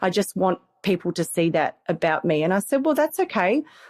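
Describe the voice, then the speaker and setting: A woman with an Australian accent speaks at a fairly slow pace, her voice dry and close with no echo on a very clean recording against a silent background. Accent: Australian, sometimes mistaken for English. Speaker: family conflict coach and program manager. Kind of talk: podcast interview. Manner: hesitant, with repeated words.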